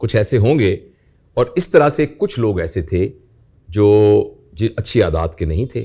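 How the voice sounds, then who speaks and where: A man's somewhat breathy voice sits fairly low in pitch, with a dark, mellow tone and very wide pitch swings. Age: 60s. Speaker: professor. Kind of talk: interview.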